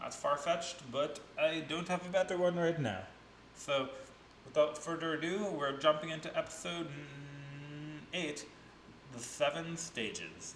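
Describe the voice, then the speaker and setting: Amid noticeable background noise and audible room echo, a man speaks with a fairly high pitch and fairly even intonation. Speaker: reaction video host. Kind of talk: casual reaction commentary.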